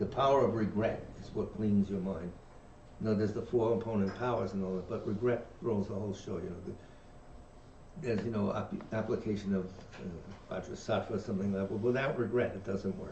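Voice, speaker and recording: Through audible room echo, a man with a New York accent and a fairly low voice talks at a fairly quick pace with fairly even intonation, broken by long, frequent pauses. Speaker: dharma teacher. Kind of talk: reading aloud with discussion. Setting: livestream from meditation center.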